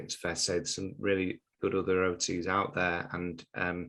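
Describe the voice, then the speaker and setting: At a moderate pace, a man with a very deep, low pitch speaks in fairly even intonation over a quiet background. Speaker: podcast host. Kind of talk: interview.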